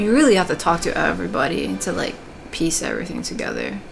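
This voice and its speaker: A woman speaks at a fairly low pitch. Noticeable background noise and audible room echo run through the recording. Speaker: gaming streamer. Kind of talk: casual gameplay commentary. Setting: alone in own room. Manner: filler-heavy.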